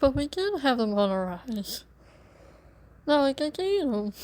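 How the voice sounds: A woman's put-on character voice, whiny in tone and high-pitched, with very wide pitch swings. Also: moderate pace.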